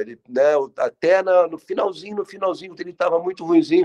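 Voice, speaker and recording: Recorded dry and close with no echo, a man speaks high-pitched with lively intonation. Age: 60s. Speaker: TV director. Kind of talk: interview testimony. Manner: halting, with many repetitions.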